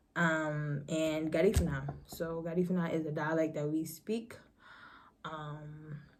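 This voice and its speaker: A woman with an American accent talks at a fairly slow pace in a very deep, low pitch. Her intonation is fairly even, and audible room echo is present. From New York City, Harlem. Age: 20s. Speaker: vlogger. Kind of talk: casual chat.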